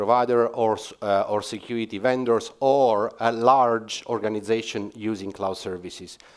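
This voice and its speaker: His intonation is fairly even. The man's voice sits at a medium pitch. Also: very clean recording, silent background. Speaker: cloud security executive. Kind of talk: conference talk. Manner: hesitant with fillers.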